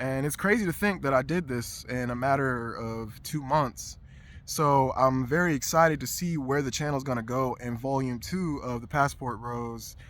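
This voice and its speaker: A man's medium-pitched voice shows ordinary pitch variation as he talks at a moderate pace. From US South, Atlanta suburbs (Dunwoody, Georgia). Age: 30s. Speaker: YouTube vlogger. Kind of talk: casual vlog monologue. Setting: outdoors. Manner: animated.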